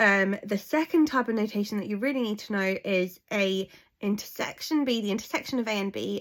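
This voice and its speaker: A woman at a medium pitch and fairly quick pace, with ordinary pitch variation, in a very clean recording over a silent background. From England. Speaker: maths teacher. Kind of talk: tutorial. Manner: fast.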